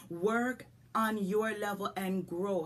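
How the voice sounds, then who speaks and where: A woman speaks with a Jamaican accent at medium pitch. Her animated, somewhat breathy voice has ordinary pitch variation. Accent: Jamaican, lasting. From rural Jamaica. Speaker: business coach and podcast host. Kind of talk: motivational podcast talk.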